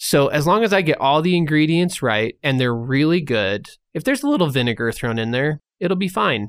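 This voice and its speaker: On a very clean recording with a silent background, a man with a fairly high pitch talks at a fairly quick pace in an ordinary speaking voice. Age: 30s. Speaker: recovering addict, nonprofit founder. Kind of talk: testimony.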